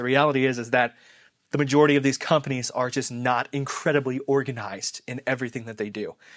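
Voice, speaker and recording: A man at a fairly quick pace with a medium pitch and fairly even intonation, against a quiet background. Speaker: marketing YouTuber. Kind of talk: casual talk to camera. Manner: halting, self-correcting.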